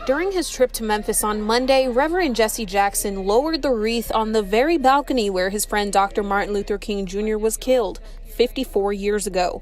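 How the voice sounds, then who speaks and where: With music in the background, the speaker moves at a fairly quick pace with lively intonation and hardly any pauses. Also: woman, fairly high pitch for a woman. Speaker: TV news reporter. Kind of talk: live TV news report. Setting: outdoors.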